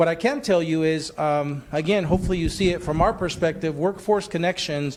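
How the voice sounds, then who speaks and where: A man's high voice in a Spanish accent, at a fairly quick pace with ordinary pitch variation. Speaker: workforce development agency leader. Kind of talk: facilitated panel discussion.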